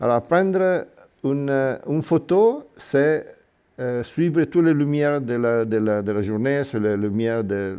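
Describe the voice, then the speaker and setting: A man with an Italian accent, dark and mellow in tone, fairly slow, with long, frequent pauses. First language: Italian (speaking French). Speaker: miniature figure painter. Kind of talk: workshop demonstration. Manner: halting.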